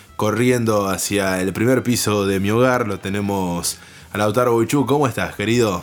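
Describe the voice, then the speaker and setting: Music plays behind a man speaking at a moderate pace. His pitch is fairly low and his intonation fairly even. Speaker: radio announcer. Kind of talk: casual chat. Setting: home. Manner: formal.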